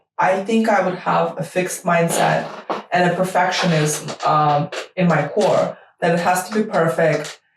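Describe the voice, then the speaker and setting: Using ordinary pitch variation, a woman with a Russian accent speaks at a fairly slow pace in a medium-pitched voice. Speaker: startup lawyer. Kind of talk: interview answers. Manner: hesitant, many fillers.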